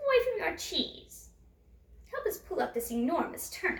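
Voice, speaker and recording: Putting on a character voice, a woman pushes her pitch extremely high. The pitch leaps up and down over a very wide range. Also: moderate pace. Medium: read story.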